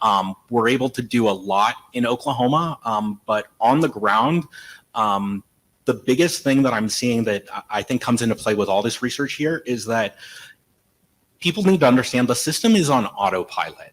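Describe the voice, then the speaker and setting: The man's voice sits at a medium pitch with ordinary pitch variation. The recording is very clean, with a silent background. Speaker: legal aid attorney. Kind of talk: conference panel talk. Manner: fast.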